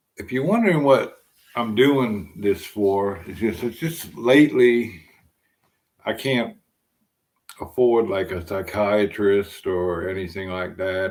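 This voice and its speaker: Speaking with an American accent, a man talks at a very slow pace in a fairly low pitch, with ordinary pitch variation, long, frequent pauses and big swings in loudness. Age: 60s. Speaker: vlogger. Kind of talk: casual monologue. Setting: at home, live stream in apartment. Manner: halting, many fillers.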